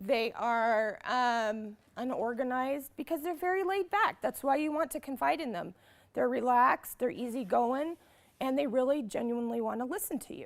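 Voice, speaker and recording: This woman speaks loudly at a high pitch. Her pace is moderate and her intonation lively. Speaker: conference presenter. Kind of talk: workshop lecture. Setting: conference classroom.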